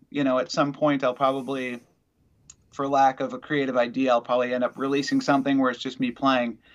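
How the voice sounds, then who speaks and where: Over a quiet background, a man with an Upper Midwest accent speaks at a fairly high pitch. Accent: Upper Midwest American. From Wisconsin. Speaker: musician. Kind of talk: interview. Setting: video call.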